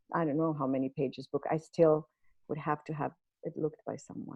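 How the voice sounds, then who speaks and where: Someone with a non-native accent speaks at a fairly quick pace. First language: not English. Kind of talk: online networking event discussion.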